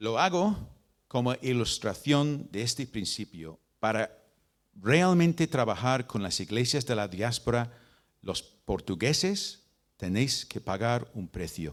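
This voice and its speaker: A man speaks at a very slow pace and a medium pitch, with very wide pitch swings. The recording is very clean, the background silent. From Britain. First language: English (speaking Spanish). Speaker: missionary and mission leader. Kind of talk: talk to church leaders. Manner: halting, with repeats and fillers.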